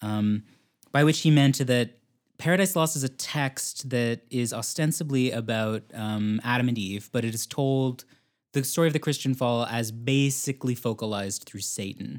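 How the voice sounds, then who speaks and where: A man with a plain, everyday voice speaks at medium pitch and a moderate pace, with ordinary pitch variation. The recording is very clean with a silent background. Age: 30s. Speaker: film programmer and literature scholar. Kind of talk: casual chat.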